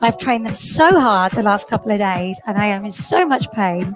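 A woman at a fairly quick pace, dry with no echo, over clear music in the background. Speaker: fitness instructor. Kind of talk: workout class instruction. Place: home room. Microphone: headset.

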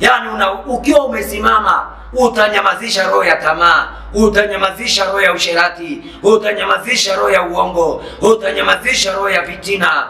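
A man with a Kenyan accent and a high pitch, ordinary pitch variation, a moderate pace with hardly any pauses and audible room echo. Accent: Kenyan Swahili. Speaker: preacher. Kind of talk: sermon. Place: church.

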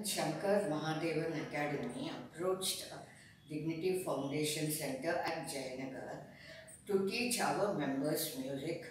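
Amid strong room echo and light background noise, a woman speaks at a very deep, low pitch with ordinary pitch variation. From India. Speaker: senior music student. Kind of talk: interview answer. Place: office. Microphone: camera far.

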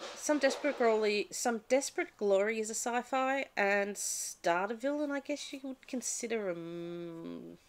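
This woman speaks with an Australian accent at a fairly high pitch. She hardly pauses at all. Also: lively intonation, moderate pace. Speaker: book vlogger. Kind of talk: casual vlog talk; casual vlog chat. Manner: halting, with fillers. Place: home room. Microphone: webcam.

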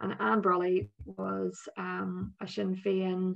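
A woman talks with a Northern Irish accent. Light background noise can be heard. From Northern Ireland. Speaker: politician. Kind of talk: interview. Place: home room. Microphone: video call.

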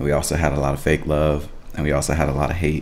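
A man with a very deep, low pitch speaks at a very fast pace. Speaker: reaction video host. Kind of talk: casual vlog chat. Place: home room.

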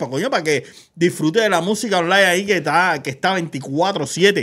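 A man uses a raised, projected voice with a bright, sharp tone. The background is quiet. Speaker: gossip show host. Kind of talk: casual chat, entertainment news. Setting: studio, live stream. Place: studio. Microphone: studio mic.

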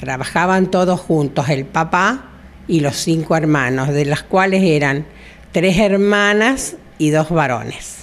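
This speaker, with a Rioplatense accent, talks at a very slow pace with very even loudness. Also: woman, fairly low pitch for a woman. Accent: Argentine Spanish (rioplatense, voseo). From Argentina, southern Santa Fe province. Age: 70s. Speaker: retired hairdresser. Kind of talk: interview, personal life story. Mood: warm, nostalgic, smiling. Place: shop. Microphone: handheld.

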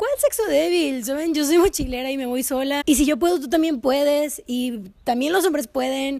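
Over a quiet background, a woman with a high pitch and a dark, mellow tone talks at a moderate pace with lively intonation and hardly any pauses. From northern Mexico, Mexicali, Baja California; Baja California, Mexico. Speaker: YouTuber; youtuber. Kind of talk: vlog storytime. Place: garden.

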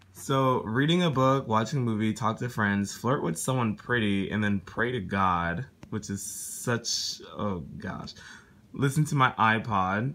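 A man's fairly low voice, fairly slow, with lively intonation. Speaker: YouTuber / vlogger; YouTuber, vlogger. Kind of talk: casual vlog. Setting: in his bedroom at parents' house. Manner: animated.

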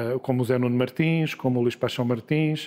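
A man with a fairly high pitch keeps a moderate pace, his intonation monotone and flat. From Lisbon, Portugal. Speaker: journalist and media executive. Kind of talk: interview.

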